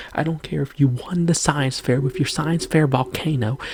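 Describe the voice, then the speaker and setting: Against noticeable background noise, a whisper carries on at a moderate pace. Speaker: video creator. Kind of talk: rant. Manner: whispering.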